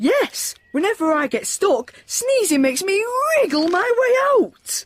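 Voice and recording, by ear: This is a cartoonish character voice at an extremely high pitch. It moves fairly slowly with very wide pitch swings.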